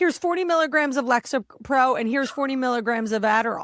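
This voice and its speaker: A woman with an American accent and a high pitch, in a dry, close sound with no echo. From New Jersey, US Northeast. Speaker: podcast host. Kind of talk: casual interview chat. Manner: fast.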